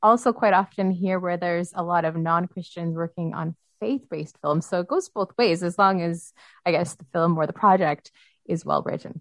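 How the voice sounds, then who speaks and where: A woman's normal speaking voice, fairly low in pitch, at a moderate pace, dry and close with no echo. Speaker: radio host. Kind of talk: interview.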